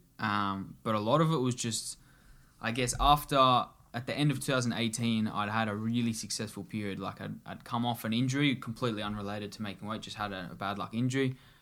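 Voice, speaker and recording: Speaking with an Australian accent, a man uses a bright, sharp tone, medium pitch, fairly even intonation, and a fairly quick pace in a very clean recording with a silent background. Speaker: Olympic judo athlete. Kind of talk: casual interview chat.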